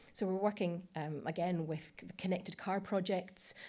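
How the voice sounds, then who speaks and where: A woman speaks with a dark, mellow tone. Her fairly low voice shows ordinary pitch variation. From Scotland, Edinburgh. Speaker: technology industry speaker. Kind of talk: conference presentation. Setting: stage with audience. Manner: hesitant, many fillers; speeding up.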